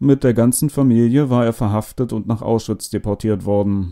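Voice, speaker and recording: Man's medium-pitched voice, dark and mellow, fairly even in intonation at a moderate pace, in a dry, close sound with no echo. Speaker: audiobook narrator. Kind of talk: literary audiobook reading of a first-person Holocaust memoir, solemn and measured.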